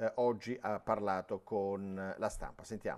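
Just a man's voice, the background quiet. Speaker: sports TV and radio host. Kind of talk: live sports phone-in show. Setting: studio. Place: studio. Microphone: lapel.

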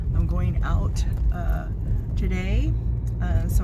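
The sound is dry with no echo, but loud background noise is present. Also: woman. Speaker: beauty vlogger. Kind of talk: casual talk to camera. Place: car. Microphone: phone near.

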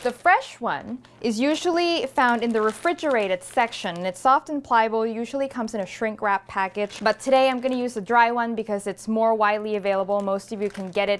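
A woman talks at a fairly quick pace with hardly any pauses and ordinary pitch variation. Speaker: cooking show host. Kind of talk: tutorial. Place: kitchen.

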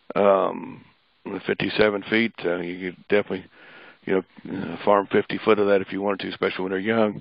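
With a Midwestern US accent, a man speaks in a fairly low pitch and a flat, monotone intonation, his loudness swinging widely. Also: moderate pace. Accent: rural Midwestern US. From northern Missouri. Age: 60s. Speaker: pecan farmer. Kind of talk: webinar lecture.

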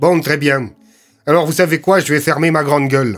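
A man does a put-on character voice. The voice he uses is gruff. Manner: gruff, earnest.

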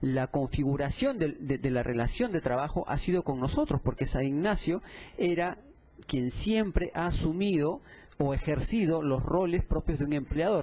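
A man at a fairly slow pace, with a dark, mellow tone. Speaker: defense lawyer for the employer. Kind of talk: courtroom argument. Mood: formal, assertive. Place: hall.

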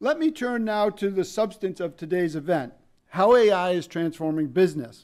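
With an American accent, a man talks at a moderate pace in a high pitch, his intonation lively against a quiet background. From upstate New York. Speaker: public service center director; event host. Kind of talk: formal event introduction. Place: hall. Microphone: podium.

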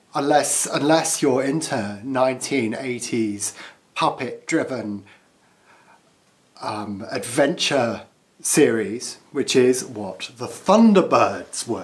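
A man talks at a very slow pace, leaving long, frequent pauses. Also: ordinary pitch variation. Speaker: pen reviewer. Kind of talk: casual review chat. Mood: playful, self-amused. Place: home room. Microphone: phone near.

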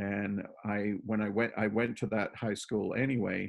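A man speaks at a fairly low pitch with fairly even intonation. The background is quiet. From Toronto, Canada (born in Plymouth, England); Toronto. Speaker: painter; interviewee. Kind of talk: casual interview. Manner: halting, many fillers. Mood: relaxed, reminiscing. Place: home room. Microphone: video call.

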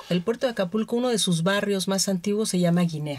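This woman has an ordinary speaking voice at medium pitch. Her pitch variation is ordinary. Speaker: anthropologist. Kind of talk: radio interview.

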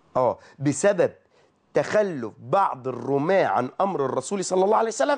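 Against a quiet background, a man speaks at a moderate pace in an animated tone with lively intonation. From Egypt. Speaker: Islamic preacher hosting a call-in TV program; religious preacher. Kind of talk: religious talk show sermon with callers. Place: studio. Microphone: lapel.

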